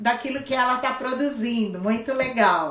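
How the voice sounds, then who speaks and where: Her intonation stays fairly even. Noticeable background noise sits behind this woman's voice. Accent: São Paulo. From Brazil, São Paulo city. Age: 60s. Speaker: craft teacher. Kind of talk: casual live-stream chat. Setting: Instagram live stream.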